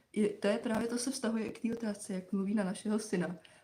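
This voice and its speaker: Someone talks at a very fast pace with fairly even intonation over noticeable background noise. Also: woman. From Czechia. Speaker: live stream co-host, mother. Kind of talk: casual chat. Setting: live stream.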